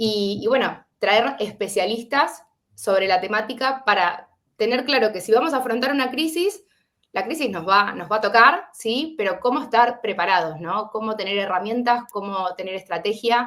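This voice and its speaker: A woman with an Argentine accent and a fairly high pitch speaks at a moderate pace with lively intonation. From Argentina. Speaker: webinar host. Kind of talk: online webinar introduction. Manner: hesitant, many fillers.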